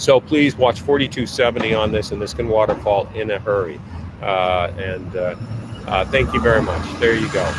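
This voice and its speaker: Over noticeable background noise, a man talks at a moderate pace in a fairly low pitch with ordinary pitch variation. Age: 60s. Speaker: market analyst livestream host. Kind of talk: live market commentary. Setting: outdoors in the rain. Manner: halting, many fillers.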